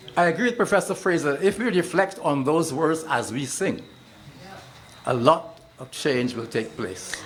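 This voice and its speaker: A man's fairly high-pitched voice amid noticeable background noise and audible room echo. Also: lively intonation, moderate pace. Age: 80s+. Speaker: retired bureaucrat, audience member. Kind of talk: public comment at town hall.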